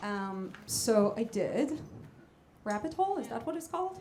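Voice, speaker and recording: A woman with an Israeli accent, fairly high pitch and lively intonation, amid audible room echo and noticeable background noise. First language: Hebrew. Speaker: jazz vocalist. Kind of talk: stage banter.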